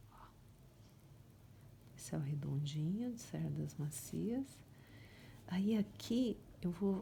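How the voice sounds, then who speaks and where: A soft-spoken woman talks with a fairly low pitch and lively intonation. Her tone is dark, mellow and somewhat breathy. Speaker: painting teacher. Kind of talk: tutorial.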